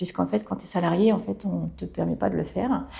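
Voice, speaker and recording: A woman speaks at a moderate pace. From Brittany, France. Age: 40s. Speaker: hairdresser and salon owner. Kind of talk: interview. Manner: hesitant, many fillers.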